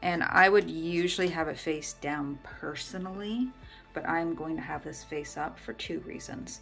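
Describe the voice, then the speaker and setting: With music in the background, a woman mumbles at a very deep, low pitch, her intonation lively. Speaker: tarot reader. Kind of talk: tutorial talk to camera. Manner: mumbling.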